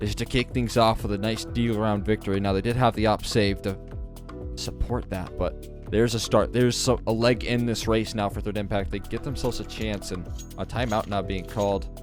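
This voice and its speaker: Music plays in the background behind a man with a fairly low voice. He speaks at a fairly quick pace in an animated tone. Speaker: esports commentator / shoutcaster. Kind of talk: esports match commentary. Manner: animated, analytical play-by-play.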